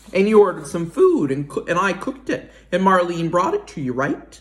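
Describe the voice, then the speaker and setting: A man's put-on character voice, high in pitch, fairly quick, with lively intonation. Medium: read story. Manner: gruff, blunt.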